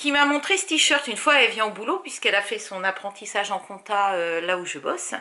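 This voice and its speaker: A woman's voice with a bright, sharp tone rises and falls in lively intonation. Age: 40s. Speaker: crafting vlogger. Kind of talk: casual vlog chat. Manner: chatty, many hesitations.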